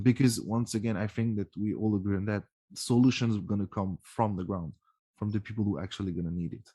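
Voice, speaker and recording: A man with a French accent, fairly low pitch and a dark, mellow tone, at a fairly quick pace with ordinary pitch variation, against a quiet background. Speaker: podcast host. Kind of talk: casual interview chat. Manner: halting.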